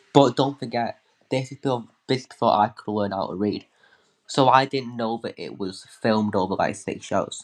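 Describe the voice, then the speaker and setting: An ordinary speaking voice belongs to a man with medium pitch and ordinary pitch variation. He talks at a moderate pace over a quiet background. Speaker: fan guest. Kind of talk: casual chat.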